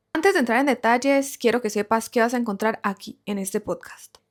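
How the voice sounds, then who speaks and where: Speaking at a fairly quick pace with a Colombian accent, a woman uses ordinary pitch variation in a very clean recording with a silent background. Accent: Colombian Spanish, noticeable. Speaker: podcast host, content creator. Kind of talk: podcast monologue, reflective.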